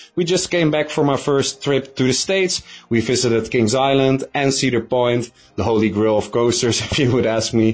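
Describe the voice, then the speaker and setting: A man of medium pitch speaks at a moderate pace with ordinary pitch variation and very even loudness, in a plain, everyday voice. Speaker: YouTube coaster reviewer. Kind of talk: recorded statement.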